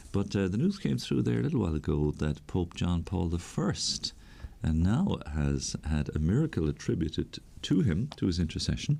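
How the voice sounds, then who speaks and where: A man with an Irish accent speaks at a moderate pace. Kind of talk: radio catechesis talk. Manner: conversational, with hesitations.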